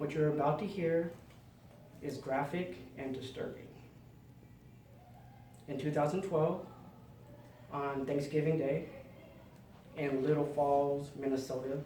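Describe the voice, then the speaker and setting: A man speaks at a fairly slow pace with fairly even intonation. His pitch is fairly high, and noticeable background noise is present. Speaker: inspirational speaker. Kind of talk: speech.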